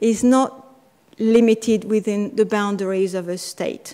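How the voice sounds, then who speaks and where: A woman with a French accent talks in a fairly high pitch, her intonation monotone and flat. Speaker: constitutional law scholar. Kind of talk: conference talk. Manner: halting.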